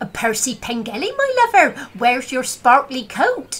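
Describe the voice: This is a female-sounding put-on character voice with a high pitch. It moves at a moderate pace.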